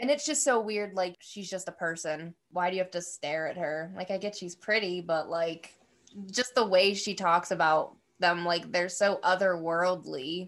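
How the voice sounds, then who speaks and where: At a moderate pace, a woman with a plain, everyday voice talks at a medium pitch with ordinary pitch variation. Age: 20s. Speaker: podcast co-host. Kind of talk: casual chat.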